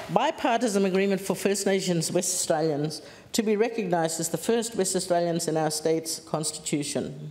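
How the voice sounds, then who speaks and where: Noticeable background noise runs under a woman who talks fairly fast. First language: Gija. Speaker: politician. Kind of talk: parliamentary speech. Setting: parliament chamber.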